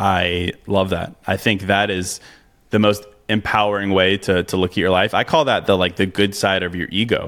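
A man with a plain, everyday voice, pitched fairly low. He talks at a moderate pace with fairly even intonation. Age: 30s. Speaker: author and podcast host. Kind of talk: interview.

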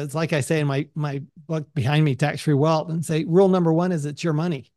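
At a fairly quick pace, a man speaks in a fairly high pitch with ordinary pitch variation and an unremarkable speaking voice. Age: 60s. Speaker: podcast host. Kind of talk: interview conversation. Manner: conversational, filler words.

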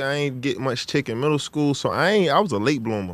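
A man talks in a very clean recording with a silent background. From Virginia, US (Chesapeake). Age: 30s. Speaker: professional basketball player and rapper. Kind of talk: casual interview.

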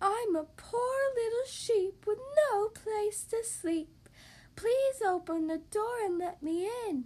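Using a put-on character voice, a woman speaks fairly slowly at an extremely high pitch. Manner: feigning innocence.

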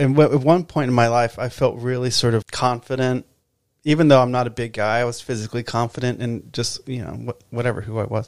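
A man talks in a normal speaking voice at medium pitch and a moderate pace, his intonation fairly even. The recording is very clean, with a silent background. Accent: American. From Texas. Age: 40s. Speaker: musician. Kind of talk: casual chat.

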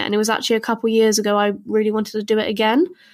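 A woman with a British accent speaks at a very fast pace. The recording is very clean, with a silent background. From southern England. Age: 20s. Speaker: actor. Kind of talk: casual chat.

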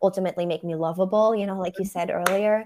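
A woman talks at a very fast pace in a medium pitch with monotone, flat intonation. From Germany, Berlin. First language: German. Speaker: photographer.

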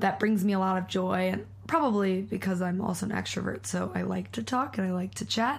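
The woman talks at a fairly quick pace, and audible room echo surrounds her voice. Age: 20s. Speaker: mindfulness and yoga teacher. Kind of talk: casual chat.

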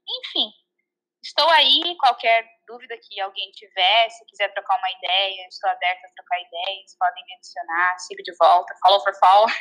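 A woman's bright, sharp tone at a moderate pace. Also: medium pitch for a woman, ordinary pitch variation. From southern Brazil (Santa Catarina). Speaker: vegan guest. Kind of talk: casual chat. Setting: remote call.

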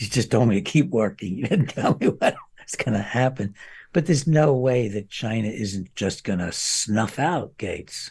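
The voice is somewhat breathy, with lively intonation at a moderate pace. The background is quiet. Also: man, medium pitch for a man. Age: 80s+. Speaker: psychiatrist and author. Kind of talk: interview. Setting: remote recording with wife assisting.

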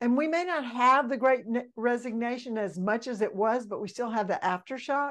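A woman with a Mississippi accent speaks at a high pitch in an animated tone. She keeps a moderate pace with hardly any pauses. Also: ordinary pitch variation. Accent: Southern US (Mississippi). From Mississippi, small town. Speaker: leadership mentor, former pastor's wife. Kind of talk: podcast interview.

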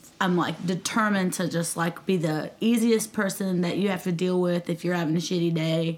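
Talking at a fairly quick pace with hardly any pauses, a woman with a Southern US accent keeps her fairly low pitch on fairly even intonation and her loudness very even. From US South, Nashville, Tennessee. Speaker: singer-songwriter. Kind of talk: casual chat.

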